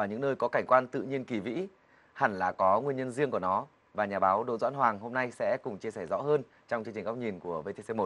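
A man with a bright, sharp voice speaks at a very fast pace with lively intonation. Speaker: TV talk show host. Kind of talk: TV interview. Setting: studio. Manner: formal. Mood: warm, friendly, smiling. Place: studio. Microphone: lapel.

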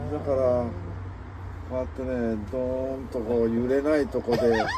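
Over noticeable background noise, the voice sounds dry with no echo and moves at a moderate pace. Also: man. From Hiroshima, Japan. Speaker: solo yachtsman. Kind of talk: interview answer. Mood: cheerful, smiling. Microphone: phone near.

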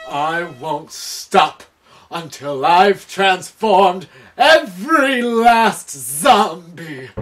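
Over music in the background, a man speaks very slowly in a high pitch with very wide pitch swings. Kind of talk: comic overacting. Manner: obsessive, commanding.

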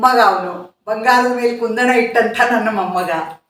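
There is audible room echo as a woman speaks at a fairly high pitch with ordinary pitch variation. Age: old. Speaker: social worker. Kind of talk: interview answers.

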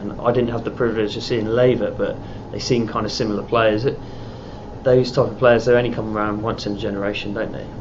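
A man's medium-pitched voice, monotone and flat, at a very fast pace over noticeable background noise. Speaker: journalist. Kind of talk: interview questions.

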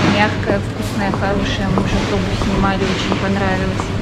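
Loud background noise sits under speech delivered at a moderate pace. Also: woman. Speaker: family travel vlogger. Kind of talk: casual vlog chat. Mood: cheerful, chatty. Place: market. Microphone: phone near.

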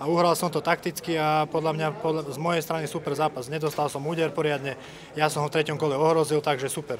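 Over noticeable background noise, a man speaks very fast in a monotone, flat intonation. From Slovakia. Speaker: MMA fighter. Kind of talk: post-fight interview. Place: hall. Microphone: handheld.

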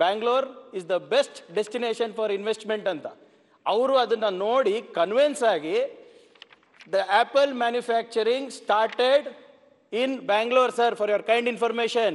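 A man speaks with an extremely high pitch. His pitch varies in an ordinary way. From Karnataka. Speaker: politician, former IT minister; legislator in assembly debate. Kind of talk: parliamentary debate. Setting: legislative assembly. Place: hall. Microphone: podium.

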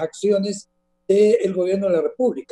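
Dark, mellow tone from a man at a moderate pace, fairly even intonation, quiet background. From Honduras. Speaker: politician and former bank regulator; guest. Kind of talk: interview. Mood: serious, critical. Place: home room. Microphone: video call.

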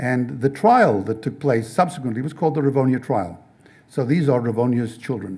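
Somewhat breathy and dark, mellow in tone, a man speaks at a moderate pace with lively intonation. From South Africa. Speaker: novelist and speaker. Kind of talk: talk with audience Q&A. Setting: stage with audience. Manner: halting, many repetitions. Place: classroom. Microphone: podium.

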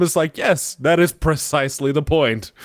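Against a quiet background, a man talks at a moderate pace with fairly even intonation in a dry sound with no echo. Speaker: gaming podcast co-host. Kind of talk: casual chat. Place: home room. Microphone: studio mic.

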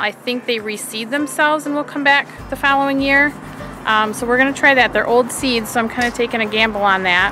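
Over music in the background, a woman speaks in a high pitch with fairly even intonation, the sound dry with no echo. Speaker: home gardener vlogger. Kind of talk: casual vlog chat. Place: garden. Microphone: phone near.

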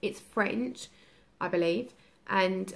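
A woman talks with lively intonation and vocal fry. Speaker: parent vlogger. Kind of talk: casual vlog chat. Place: home room. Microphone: phone near.

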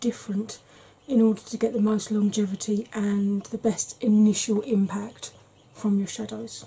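The woman delivers her words at a fairly slow pace. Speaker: beauty vlogger. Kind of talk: tutorial. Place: home room.

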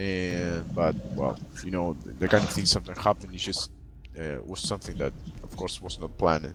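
A man's very deep, low voice over music in the background. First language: not English. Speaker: gaming clan officer. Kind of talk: community meeting update. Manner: halting, many repeated words.

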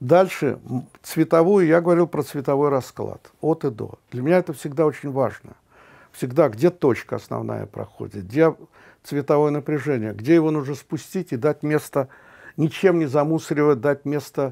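The voice has a dark, mellow tone, ordinary pitch variation and a moderate pace over a quiet background. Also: man. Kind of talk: interview answer. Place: studio. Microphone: lapel.

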